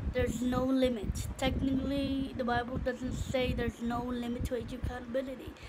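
A woman's monotone, flat delivery at a fairly quick pace with hardly any pauses, over loud background noise. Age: 20s. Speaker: vlogger and singing student. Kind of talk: casual vlog monologue. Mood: reflective, personal, faith talk. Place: home room. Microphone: phone near.

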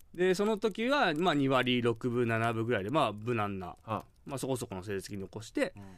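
A man with lively intonation at a moderate pace, barely pausing, in a dry, echo-free sound over a quiet background. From Kyushu, Japan; Japan. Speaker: former pro baseball catcher, radio co-host; guest. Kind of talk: casual chat. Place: studio.

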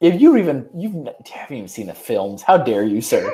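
A man at medium pitch with big pitch swings, a fairly quick pace, and a dark, mellow tone

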